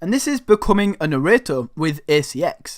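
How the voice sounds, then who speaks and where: A man with an animated tone and very wide pitch swings. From northern England. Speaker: online money-making youtuber. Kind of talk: tutorial.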